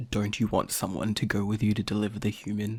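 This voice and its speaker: A man puts on a character voice at a fairly low pitch. He speaks at a very fast pace. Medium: audio drama.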